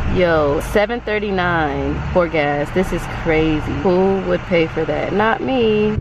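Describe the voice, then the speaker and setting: The voice moves at a very slow pace with hardly any pauses and ordinary pitch variation, in a dry sound with no echo and noticeable background noise. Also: woman, fairly low pitch for a woman. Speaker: vlogger. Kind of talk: casual vlog talk to camera. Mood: upbeat, playful. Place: street. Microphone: phone near.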